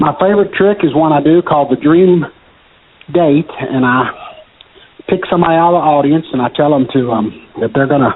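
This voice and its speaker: A man with a Kentucky accent at a fairly quick pace, long, frequent pauses, very even loudness and noticeable background noise. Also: fairly high pitch for a man, ordinary pitch variation. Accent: Kentucky Southern US. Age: 60s. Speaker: magician. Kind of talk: casual interview. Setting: phone call.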